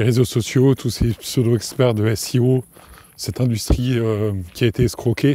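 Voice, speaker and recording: A dark, mellow tone delivered at a fairly slow pace. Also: man. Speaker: podcast host. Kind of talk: casual solo podcast monologue. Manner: hesitant, many fillers and restarts.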